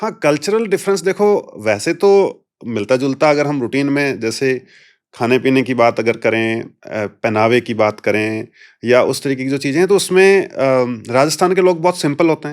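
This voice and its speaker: A fairly high-pitched man's voice with a Punjabi accent. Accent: Hindi with Punjabi touch. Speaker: police officer. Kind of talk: interview.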